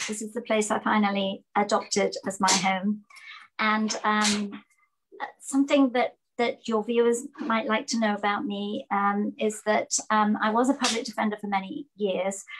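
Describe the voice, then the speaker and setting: A woman speaks in an English accent, her voice somewhat breathy. Her intonation stays fairly even. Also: fairly high pitch for a woman, moderate pace. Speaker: judicial candidate, former public defender. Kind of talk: interview.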